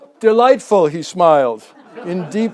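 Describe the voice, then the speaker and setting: A man's high-pitched voice with an American accent, ordinary pitch variation and a fairly slow pace, over noticeable background noise. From New England, Massachusetts coast. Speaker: local history speaker. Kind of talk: public talk. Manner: reads prepared text.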